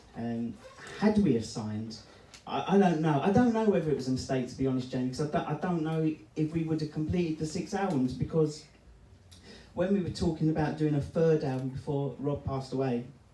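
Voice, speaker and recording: With a London accent and lively intonation, a man speaks at a fairly high pitch amid audible room echo and noticeable background noise. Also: fairly quick pace. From East London. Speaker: electronic music producer. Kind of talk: live interview with audience. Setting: stage with live audience in a record shop. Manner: chatty, talks a lot.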